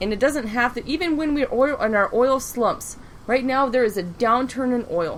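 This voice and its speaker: A woman speaks in a high voice at a moderate pace, with ordinary pitch variation. Her tone is animated and angry, over noticeable background noise. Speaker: podcast host. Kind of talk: heated rant. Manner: animated, angry.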